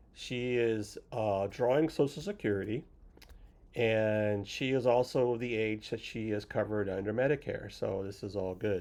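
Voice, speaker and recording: A man talks at a moderate pace and a medium pitch. He has a normal speaking voice with ordinary pitch variation. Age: 60s. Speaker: retirement vlogger, software consultant. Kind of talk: casual vlog monologue. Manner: casual, with fillers.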